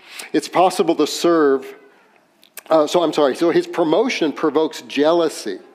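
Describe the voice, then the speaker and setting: A man speaks at a moderate pace with a fairly high pitch. Noticeable background noise sits behind him. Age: 60s. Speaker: pastor. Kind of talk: sermon.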